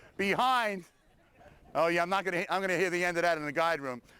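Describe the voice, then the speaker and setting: A man in a Brooklyn accent uses a raised, projected voice at a high pitch. His tone is bright and sharp, and the recording is very clean with a silent background. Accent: New York Brooklyn. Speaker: battlefield tour guide. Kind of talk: addressing a crowd on a walk.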